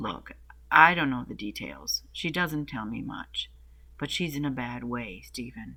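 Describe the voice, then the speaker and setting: A man puts on a gravelly character voice at medium pitch. He talks at a moderate pace. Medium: read story.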